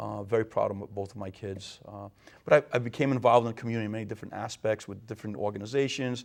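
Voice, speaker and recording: Very fast and with big swings in loudness, a man with a Rhode Island accent speaks at a fairly low pitch and with fairly even intonation. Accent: New England (Rhode Island). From Rhode Island, Portuguese immigrant family. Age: 50s. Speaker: mayor, retired police captain. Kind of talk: interview.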